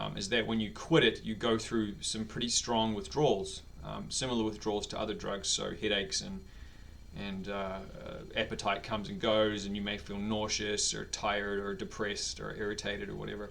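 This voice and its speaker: Speaking in a New Zealand accent, a man moves at a fairly quick pace. Audible room echo surrounds his voice. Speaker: vlogger. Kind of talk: personal video diary. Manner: hesitant, many fillers.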